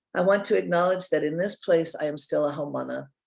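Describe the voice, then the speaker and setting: Here is a woman speaking. She has a General American accent. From US West Coast, Oregon. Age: 60s. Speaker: nonprofit leader, retired science teacher. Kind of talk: guest presentation to a class.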